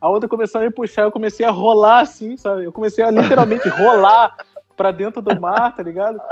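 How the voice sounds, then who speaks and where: A man at a high pitch, talking at a fairly quick pace with fairly even intonation. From Rio de Janeiro, Brazil. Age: 20s. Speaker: podcaster. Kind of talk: casual chat.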